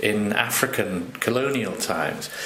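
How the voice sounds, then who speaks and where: A man with ordinary pitch variation, amid audible room echo and noticeable background noise. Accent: RP. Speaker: language consultant and slang lexicographer. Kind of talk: podcast explanation. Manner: hesitant, many fillers.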